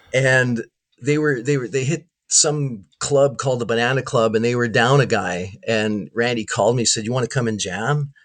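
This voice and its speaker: A man speaks at a moderate pace with a Canadian accent. He has a plain, everyday voice at medium pitch with ordinary pitch variation. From Canada, Winnipeg. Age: 60s. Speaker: guitarist. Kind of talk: casual chat.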